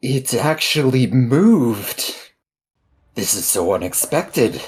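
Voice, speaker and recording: Using a put-on character voice, a man talks at a fairly slow pace and a medium pitch. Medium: actual play. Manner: bold, boastful.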